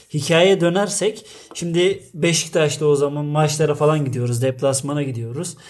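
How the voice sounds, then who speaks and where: Through noticeable background noise, a man speaks at a fairly high pitch and a moderate pace, with ordinary pitch variation. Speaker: podcast co-host. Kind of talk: casual chat.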